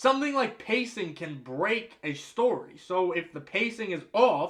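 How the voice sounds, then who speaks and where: An American-accented man at a moderate pace amid noticeable background noise. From United States. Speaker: movie reviewer. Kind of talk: explainer monologue. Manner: casual.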